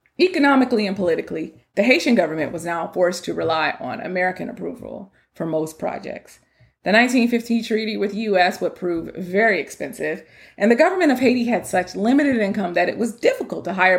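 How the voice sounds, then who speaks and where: A woman with vocal fry talks at a very fast pace and medium pitch, her intonation lively. The recording is very clean, with a silent background. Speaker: history podcaster. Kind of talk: solo history narration. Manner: casual, conversational.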